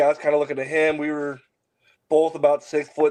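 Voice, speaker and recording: This is an unremarkable speaking voice with an American accent, moving at a moderate pace. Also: man. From US Midwest, Kansas City. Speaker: MMA and bare-knuckle fighter, military veteran. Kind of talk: casual interview chat.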